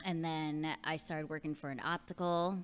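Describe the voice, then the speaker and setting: A woman with a New York accent speaks at a moderate pace in a very deep, low pitch. The recording is very clean, with a silent background. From Long Island, New York. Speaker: podcast guest. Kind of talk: casual chat.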